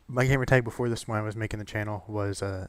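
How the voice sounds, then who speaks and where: Delivered at a fairly quick pace, the man's voice is fairly low and monotone, with flat intonation. The recording is very clean, with a silent background. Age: 20s. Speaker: gaming YouTuber. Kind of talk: casual vlog monologue. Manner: halting, many fillers.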